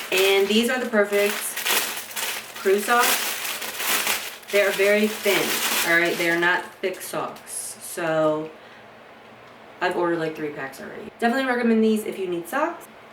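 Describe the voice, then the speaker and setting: A woman with an American accent speaks in an animated tone at a medium pitch, her intonation lively. Noticeable background noise and audible room echo surround her voice. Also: fairly slow pace. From Kentucky, US South. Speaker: fashion haul vlogger. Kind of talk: casual unboxing chat. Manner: chatty, animated.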